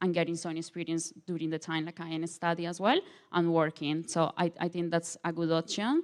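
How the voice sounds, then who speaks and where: Spoken in a Colombian accent, the words come at a fairly quick pace with monotone, flat intonation. The recording is very clean, with a silent background. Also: woman, fairly low pitch for a woman. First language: Spanish. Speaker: international law student. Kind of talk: panel presentation. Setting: open day panel event. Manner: halting, many fillers.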